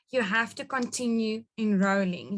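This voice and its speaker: A woman speaks with a South African accent. Her intonation is fairly even. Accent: Afrikaans South African English. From rural South Africa, Afrikaans-speaking. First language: Afrikaans. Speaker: network marketing business leader. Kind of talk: business training webinar.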